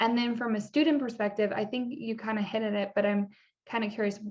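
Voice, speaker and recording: Over a quiet background, a woman has a normal speaking voice at medium pitch with fairly even intonation. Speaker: engineering educator. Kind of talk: interview questions.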